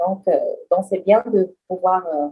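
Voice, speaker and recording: A woman's dark, mellow tone. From Cameroon, francophone region. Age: 20s. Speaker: French teacher. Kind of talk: interview. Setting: podcast. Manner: hesitant, many filler sounds.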